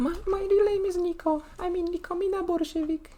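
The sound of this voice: Delivered at a fairly quick pace, the put-on character voice sits at an extremely high pitch.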